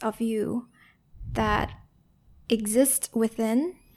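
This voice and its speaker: Her tone gentle, a woman speaks at a fairly high pitch with fairly even intonation, captured in a very clean recording with a silent background. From Vietnam. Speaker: founder of a conversation-tools company. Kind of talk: reflective interview conversation. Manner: soft-spoken, gentle, slow.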